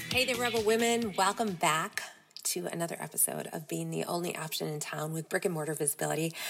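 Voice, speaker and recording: Over music in the background, a woman talks very fast in a fairly low voice with lively intonation. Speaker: podcast host and dance studio owner. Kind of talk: casual podcast monologue.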